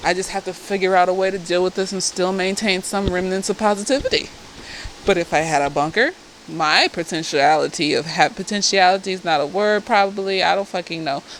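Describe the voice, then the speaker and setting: Noticeable background noise under a woman's medium-pitched voice, fairly quick in pace, with ordinary pitch variation. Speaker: therapist reviewing a TV show. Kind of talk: casual tipsy TV episode review. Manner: animated, profane.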